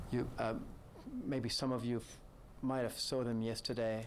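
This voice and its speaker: In a room with audible echo, a man speaks at a moderate pace in a medium pitch with monotone, flat intonation. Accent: French. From France. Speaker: bank executive. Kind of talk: press conference. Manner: halting, many fillers and repetitions.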